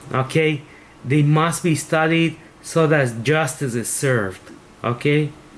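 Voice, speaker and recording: A man at a fairly high pitch with a Spanish accent, fairly slow in pace and very even in loudness. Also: ordinary pitch variation. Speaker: teacher leading a devotional. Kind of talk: prayer reading and devotional commentary.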